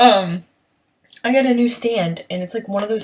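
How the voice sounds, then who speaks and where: A quiet woman talks at a fairly quick pace. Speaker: beauty vlogger. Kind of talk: casual makeup tutorial livestream. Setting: home at night, son asleep next door. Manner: quiet, hushed; chatty, filler-heavy.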